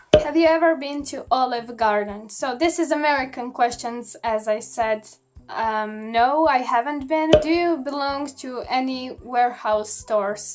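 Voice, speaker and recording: A high-pitched woman with a Croatian accent at a fairly slow pace, music in the background. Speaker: youtuber. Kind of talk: casual Q&A vlog.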